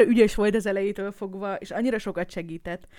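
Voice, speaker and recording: Fairly quick female speech, very clean recording, background silent. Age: 30s. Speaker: podcast host and streamer, new mother. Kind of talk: casual Q&A livestream chat. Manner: chaotic, rambling.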